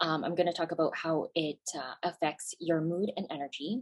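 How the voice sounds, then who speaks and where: A woman with a Canadian accent and an unremarkable speaking voice, fairly low in pitch, with ordinary pitch variation. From Canada. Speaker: naturopathic physician. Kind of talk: webinar presentation. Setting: video call webinar.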